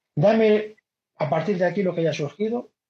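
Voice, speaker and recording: Fairly slow in pace, a man speaks with a dark, mellow tone. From Galicia, Spain (Vigo). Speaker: podcast host and community organizer. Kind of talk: casual chat. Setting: video call.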